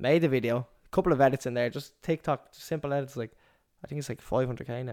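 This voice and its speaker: In an Irish accent, the speech comes at a very fast pace with fairly even intonation and big swings in loudness, in a dry, close sound with no echo and a very clean recording with a silent background. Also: man, medium pitch for a man. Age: 20s. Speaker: podcast co-host, barber and entrepreneur. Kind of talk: casual chat.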